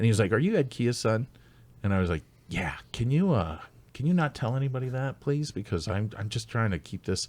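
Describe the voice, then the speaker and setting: On a very clean recording with a silent background, a man with a slight Canadian accent talks at a fairly quick pace with lively intonation. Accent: slight Canadian traits. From United States, with much time in Canada. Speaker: stand-up comedian. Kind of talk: casual podcast chat.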